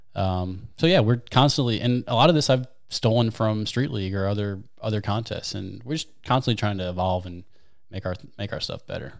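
In a very clean recording with a silent background, a man with a fairly low pitch and an American accent speaks at a fairly quick pace. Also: ordinary pitch variation. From US Midwest, St. Louis, Missouri. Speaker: wakeskater and league organizer. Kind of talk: casual chat.

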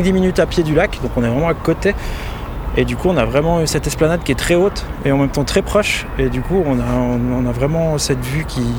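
Noticeable background noise fills the clip. Through it a man talks fairly quickly. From Switzerland, Valais (Chablais). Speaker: local resident guide. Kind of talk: casual interview on a walk. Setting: outdoors. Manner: hesitant, many fillers.

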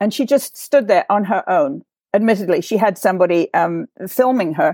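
Lively intonation marks a woman with an English accent speaking at a moderate pace, the sound dry and close with no echo. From England. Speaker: writer, nonprofit president. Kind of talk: discussion; scripted sign-off. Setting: video call.

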